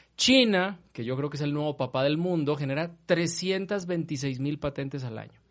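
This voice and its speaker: A man talks in a normal speaking voice at a fairly slow pace, his pitch fairly high with ordinary variation. The background is quiet. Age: 40s. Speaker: university rector. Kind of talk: casual chat.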